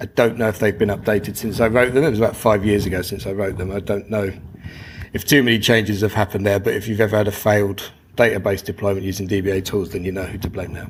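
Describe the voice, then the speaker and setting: A man with a London accent talks at a very fast pace. His fairly low voice keeps a fairly even intonation. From London, England. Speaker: conference speaker, DevOps engineer. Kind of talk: conference talk. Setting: stage with audience. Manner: normally fast.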